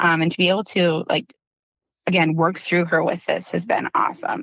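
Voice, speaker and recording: A woman with a slight Wisconsin accent, very even loudness and ordinary pitch variation. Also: fairly low pitch for a woman, moderate pace. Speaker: dental practice consultant. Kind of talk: podcast interview. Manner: animated.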